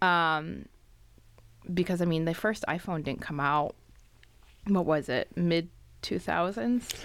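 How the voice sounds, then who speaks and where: A woman's fairly low voice at a very slow pace, with long, frequent pauses, ordinary pitch variation and a very clean recording with a silent background. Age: 30s. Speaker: podcast co-host. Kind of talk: casual chat.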